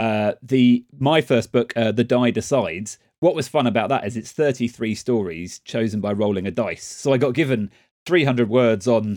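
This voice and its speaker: With a normal speaking voice, a man talks at a moderate pace and medium pitch with ordinary pitch variation, recorded very cleanly against a silent background with a dry, close sound and no echo. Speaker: podcast host. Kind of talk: interview chat.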